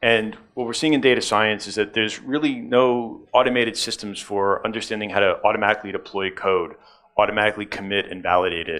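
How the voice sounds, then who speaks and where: This man speaks very fast with a New York accent. His pitch is fairly low, with ordinary variation. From New York, US. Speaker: tech conference speaker. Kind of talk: conference talk. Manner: many filler words.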